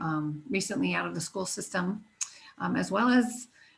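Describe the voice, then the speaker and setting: A woman talks in a fairly low pitch with a somewhat breathy voice. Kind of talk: presentation in a webinar. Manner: fast.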